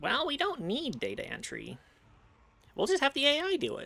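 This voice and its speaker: Putting on a character voice, a man pitches his speech extremely high and holds a moderate pace. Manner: glib, tech bro voice.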